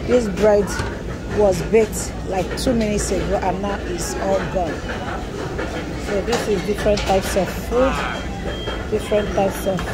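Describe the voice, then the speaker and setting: Long pauses come often in this speech, set against loud background noise. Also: moderate pace. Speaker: diner vlogger. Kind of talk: casual vlog chat. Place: shop. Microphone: phone near.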